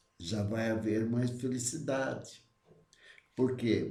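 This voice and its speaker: A man's somewhat breathy, dark, mellow voice at a medium pitch, with fairly even intonation, a very slow pace and audible room echo. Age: 70s. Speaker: spiritist study leader. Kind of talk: religious study talk. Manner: halting.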